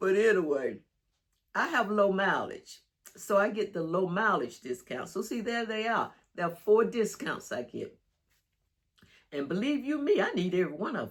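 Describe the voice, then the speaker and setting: A woman at medium pitch speaks at a moderate pace with very wide pitch swings, big swings in loudness, vocal fry and long, frequent pauses. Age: 70s. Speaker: lifestyle vlogger for older adults. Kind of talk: casual talk to camera. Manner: chatty, conversational.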